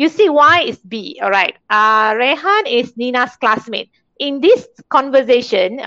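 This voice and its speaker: Speaking with a Malaysian accent, a woman has a high-pitched voice. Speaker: English teacher. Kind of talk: lecture.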